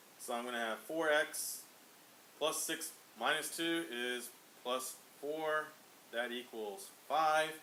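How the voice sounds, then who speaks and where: Audible room echo surrounds a man with a bright, sharp tone who speaks at a very slow pace with ordinary pitch variation and long, frequent pauses. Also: fairly high pitch for a man. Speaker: math teacher. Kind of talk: tutorial.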